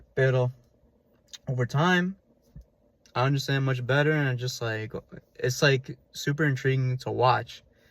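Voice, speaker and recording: A man speaks at a medium pitch, somewhat breathy, with fairly even intonation. Long, frequent pauses break up his speech. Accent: American. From New York. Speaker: language learning vlogger. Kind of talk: casual advice vlog. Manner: fast; casual, many fillers.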